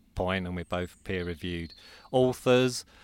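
A man with a southern English accent and lively intonation on a very clean recording with a silent background. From Croydon, south London. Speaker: forest bathing institute director. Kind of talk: interview conversation. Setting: outdoors in woodland.

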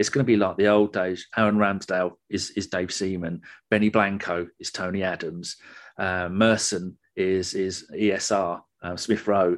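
Monotone, flat delivery in an English accent at a moderate pace against a quiet background. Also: man, very deep, low pitch for a man. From England. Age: 50s. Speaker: football fan podcaster. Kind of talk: casual chat.

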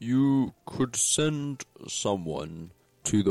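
A man's put-on character voice at a very slow pace, dry and close with no echo, with music in the background. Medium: actual play. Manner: formal, measured.

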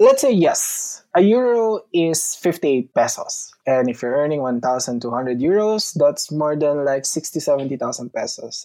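In a Filipino accent, a man speaks very slowly with a fairly high pitch, lively intonation and a dark, mellow tone, hardly pausing at all. The recording is very clean, with a silent background. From Philippines. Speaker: OFW in Italy. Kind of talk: casual interview.

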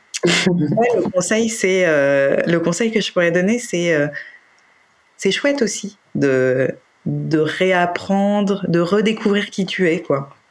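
A woman at a very slow pace, with lively intonation and very even loudness. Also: medium pitch for a woman. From France, Paris. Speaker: interviewee, separated mother. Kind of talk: personal testimony. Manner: hesitant, many fillers and repetitions.

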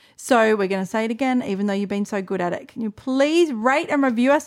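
With an Australian accent, a woman talks at a very fast pace with hardly any pauses, her fairly high pitch varying in an ordinary way on a very clean recording with a silent background. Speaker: podcast co-host. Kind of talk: casual chat. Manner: loud.

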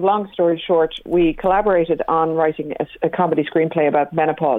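A woman speaks with a Dublin accent. Her pitch is fairly low. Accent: Dublin Irish. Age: 50s. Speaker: comedy writer and promoter. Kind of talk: casual chat. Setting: phone call.

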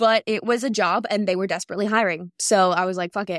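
A very fast woman's voice on a very clean recording with a silent background, dry and close with no echo. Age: 20s. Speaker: podcast co-host. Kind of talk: casual chat.

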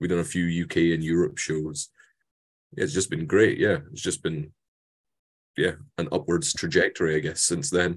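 A man's very deep, low voice in a Scottish accent, fairly slow, against a quiet background. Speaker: metal musician. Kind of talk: interview. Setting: video call.

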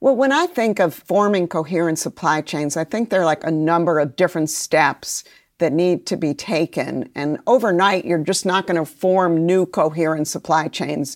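On a very clean recording with a silent background, a woman with an American accent and an unremarkable speaking voice talks at a moderate pace with hardly any pauses. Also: fairly low pitch for a woman, ordinary pitch variation. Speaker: trade policy expert. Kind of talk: interview.

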